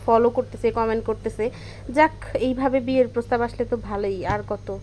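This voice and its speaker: A woman speaks at a high pitch with a dark, mellow tone and fairly even intonation. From Bangladesh, Narsingdi. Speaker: clothing seller and painter. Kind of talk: casual storytelling vlog; sales pitch.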